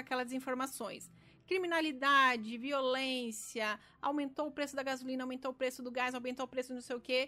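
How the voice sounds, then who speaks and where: In a very clean recording with a silent background, a woman projects a raised, high-pitched voice with a bright, sharp tone at a fairly quick pace. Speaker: architect and podcast host. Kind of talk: solo podcast talk.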